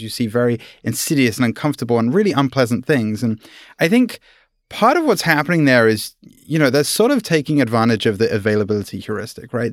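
In a British accent, someone speaks at a fairly quick pace in a very clean recording with a silent background. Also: man. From UK. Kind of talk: casual chat.

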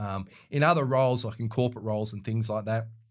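At a very fast pace, a man with an Australian accent talks in a very clean recording with a silent background. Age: 50s. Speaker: real estate coach and former CEO. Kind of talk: interview. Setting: studio.

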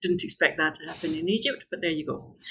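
Ordinary pitch variation with a Scottish accent. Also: woman. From Scotland. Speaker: tour company founder, expat. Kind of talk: casual interview.

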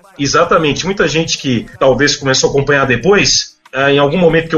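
Against noticeable background noise, a man with a fairly high pitch speaks at a fairly quick pace. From Minas Gerais, Brazil. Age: 30s. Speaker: sports commentator. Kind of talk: casual chat.

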